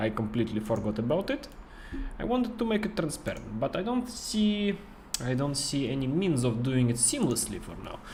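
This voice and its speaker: A man with a non-native accent talks at a fairly quick pace, his fairly high pitch making very wide swings. Noticeable background noise and audible room echo fill the recording. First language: not English. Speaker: game studio marketer and streamer. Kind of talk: casual livestream chat. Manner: halting, many fillers.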